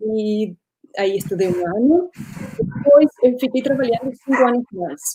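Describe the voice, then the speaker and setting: Speaking fairly slowly with a Spanish accent, a woman uses a fairly high pitch and lively intonation. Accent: Spanish-speaker accent in Portuguese. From Uruguay. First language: Spanish (speaking Portuguese). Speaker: former radio journalist. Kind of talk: interview in a live stream. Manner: halting, searches for words.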